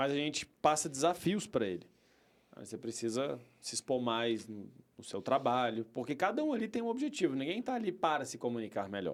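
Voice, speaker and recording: Talking at a fairly quick pace, a man with a fairly high pitch makes very wide pitch swings and big swings in loudness. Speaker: communication trainer, company co-founder. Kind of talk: podcast interview.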